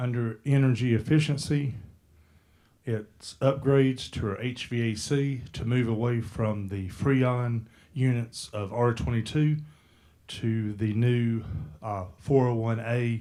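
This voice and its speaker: A man's medium-pitched voice, dark and mellow in tone, at a very slow pace with long, frequent pauses and fairly even intonation. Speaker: county parks and recreation director. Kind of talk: presentation to a county board. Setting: public meeting room, speaking into a handheld mic.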